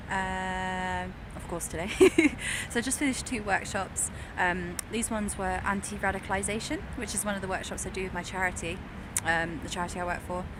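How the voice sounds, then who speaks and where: The voice moves at a fairly quick pace amid audible room echo and noticeable background noise. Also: woman. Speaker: actor and workshop facilitator. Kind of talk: vlog. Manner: animated.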